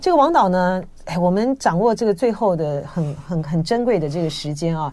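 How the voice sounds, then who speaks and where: Lively intonation marks this woman's dark, mellow tone. She keeps a moderate pace. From Taiwan. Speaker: radio host. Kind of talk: interview. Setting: studio. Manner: animated.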